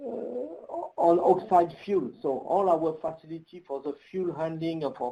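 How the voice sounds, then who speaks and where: In a French accent, the speaker talks at a fairly slow pace with fairly even intonation and a dark, mellow tone. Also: man. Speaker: nuclear engineer presenting a webinar. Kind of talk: webinar Q&A. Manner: halting, many fillers.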